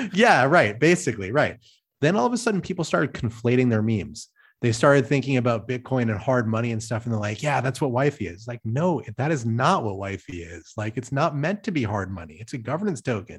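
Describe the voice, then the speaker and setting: A man's somewhat breathy voice at medium pitch, fairly quick and with lively intonation, on a very clean recording with a silent background. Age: middle-aged. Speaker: crypto governance designer. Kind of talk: casual chat.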